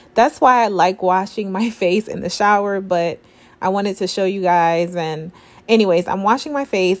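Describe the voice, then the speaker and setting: A woman speaks in an upbeat tone at a moderate pace. Her pitch varies in an ordinary way. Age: 30s. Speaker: registered nurse, skincare reviewer. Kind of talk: casual product review to camera. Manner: chatty, upbeat. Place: bathroom. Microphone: camera far.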